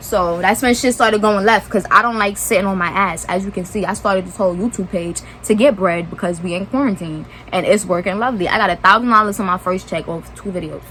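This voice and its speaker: Over noticeable background noise, a woman with an American accent talks at a very fast pace with big swings in loudness but fairly even intonation. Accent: New York accent, slight southern touch. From New York (Brooklyn). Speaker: YouTuber. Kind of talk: storytime vlog. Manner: casual, rambling asides.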